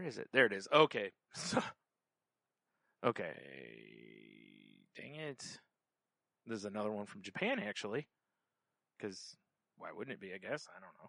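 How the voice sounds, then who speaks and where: A man at a moderate pace with a medium pitch and a bright, sharp tone, lively intonation, big swings in loudness and long, frequent pauses, in a dry, close sound with no echo. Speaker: podcast co-host. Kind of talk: casual chat.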